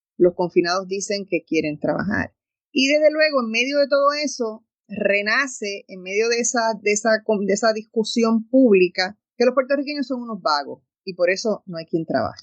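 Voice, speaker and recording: At a moderate pace, the speaker uses lively intonation, big swings in loudness, and an animated tone. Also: woman, fairly high pitch for a woman. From Puerto Rico. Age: 60s. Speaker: radio host. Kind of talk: radio talk show monologue.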